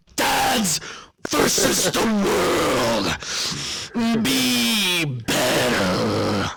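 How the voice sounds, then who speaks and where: A put-on character voice, raspy in texture. It moves at a very slow pace. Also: man, medium pitch for a man. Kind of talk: 1980s wrestling promo.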